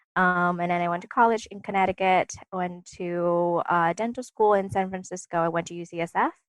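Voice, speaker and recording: A woman at medium pitch talks fairly quickly with hardly any pauses, fairly even intonation and big swings in loudness, in a dry, close sound with no echo. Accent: Vietnamese. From Vietnam. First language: Vietnamese. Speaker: dentist. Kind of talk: casual interview. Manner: hesitant, many fillers.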